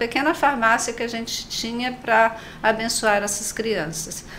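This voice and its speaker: In a room with audible echo, a woman talks at a fairly slow pace with a fairly high pitch. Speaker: nurse and missionary. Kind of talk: panel discussion.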